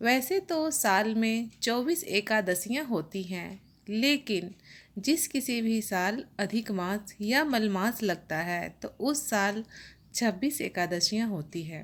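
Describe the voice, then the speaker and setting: At a very slow pace, a woman speaks with a fairly high pitch and lively intonation. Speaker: religious YouTuber. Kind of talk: religious explainer talk.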